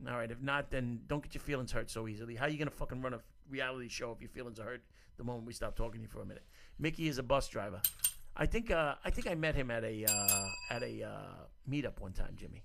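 Speaking at a very fast pace, a man with medium pitch uses ordinary pitch variation. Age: 40s. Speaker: call-in show host. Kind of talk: casual chat. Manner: animated.

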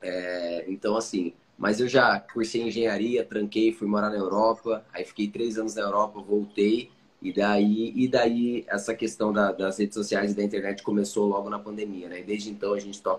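A man's fairly low, monotone, flat voice moves along at a moderate pace. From Curitiba, southern Brazil. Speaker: podcaster and content creator. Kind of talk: casual interview chat.

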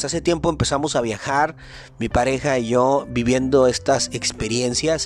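Noticeable background noise sits behind a man's medium-pitched voice. He talks at a moderate pace with ordinary pitch variation. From northern Mexico, Chihuahua. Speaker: podcast host. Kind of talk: motivational monologue.

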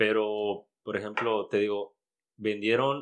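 Very slow speech with a Mexican accent over a quiet background. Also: man. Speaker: comedian. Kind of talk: casual chat.

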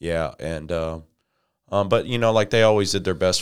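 A man with an American accent at a moderate pace, very clean recording, silent background. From Illinois. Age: 30s. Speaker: rapper and former prisoner. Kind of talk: interview testimony. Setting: studio.

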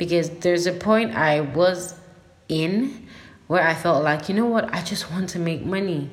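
A woman's fairly low voice with an animated tone, ordinary pitch variation and a moderate pace, over noticeable background noise. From Nigeria. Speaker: podcast host. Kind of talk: casual solo monologue.

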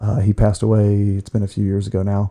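At a fairly quick pace, a man with an American accent speaks in a dark, mellow, fairly low voice. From Ohio, US Midwest (Ashland). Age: 40s. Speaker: school counselor. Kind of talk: casual interview. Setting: studio.

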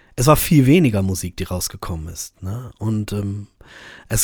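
On a very clean recording with a silent background, a man speaks at a fairly quick pace with lively intonation. He has a plain, everyday voice. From Germany, Braunschweig. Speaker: podcast host and rapper. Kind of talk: solo monologue.

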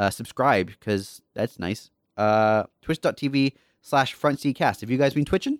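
A man with an American accent talks at a fairly slow pace in a plain, everyday voice of medium pitch with ordinary pitch variation, on a very clean recording with a silent background and a dry, close sound with no echo. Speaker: podcast host. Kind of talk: casual chat.

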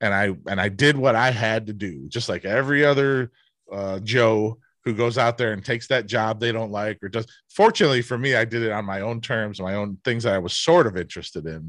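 A man with an American accent and a normal speaking voice, medium pitch, ordinary pitch variation, a fairly quick pace, and a quiet background. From US Midwest, Cleveland. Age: 50s. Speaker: author and former marketer. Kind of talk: casual interview chat.

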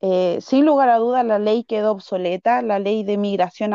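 A woman has an unremarkable speaking voice with ordinary pitch variation. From Chile (Santiago), arrived at age three. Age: 30s. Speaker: political candidate and teacher. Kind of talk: interview.

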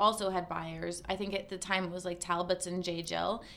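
Her accent is American, and her pitch is medium. This woman speaks in a monotone, flat intonation. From Massachusetts (Cape Cod). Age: 30s. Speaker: lifestyle blogger and podcaster. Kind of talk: casual interview chat.

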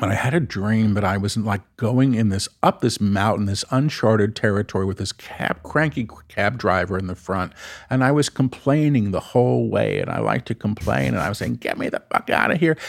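On a very clean recording with a silent background and a dry, close sound with no echo, a man with an American accent and an ordinary speaking voice talks at a fairly low pitch and a moderate pace with lively intonation. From New York. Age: 50s. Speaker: spiritual channel and author. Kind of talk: casual chat.

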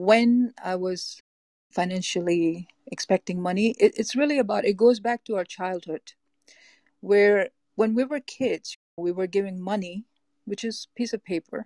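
A woman's normal speaking voice with an American accent, medium in pitch with ordinary variation, in a dry, close sound without echo. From US Northeast, Boston. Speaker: life coach and therapist. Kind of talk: interview.

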